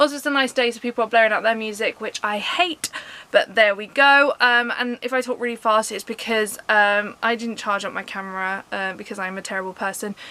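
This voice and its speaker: A woman with a southern English accent talks at a fairly quick pace with hardly any pauses, her fairly high pitch showing ordinary variation as her loudness swings widely. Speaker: vlogger. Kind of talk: casual vlog talk. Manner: fast.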